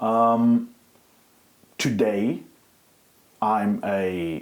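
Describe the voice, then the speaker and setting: A man's fairly low voice with a German accent. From Germany. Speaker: activist. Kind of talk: interview.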